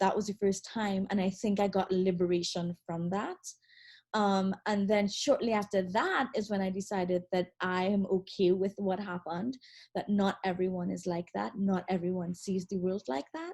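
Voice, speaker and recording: A woman with a Trinidadian accent talks at a moderate pace in a somewhat breathy voice. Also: medium pitch for a woman, fairly even intonation. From Trinidad and Tobago. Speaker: attorney. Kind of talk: interview. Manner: halting, many fillers and repeats.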